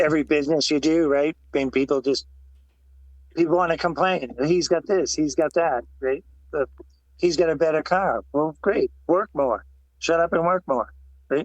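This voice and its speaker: At a moderate pace, a man with an American accent speaks at a fairly high pitch, taking long, frequent pauses. His intonation is fairly even and his loudness very even. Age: 60s. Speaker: retired motorcycle racer. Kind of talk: podcast interview.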